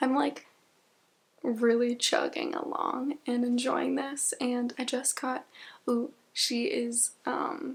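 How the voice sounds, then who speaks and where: The woman whispers. Her pace is very slow. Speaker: book vlogger. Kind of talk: casual vlog chat. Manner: whispering.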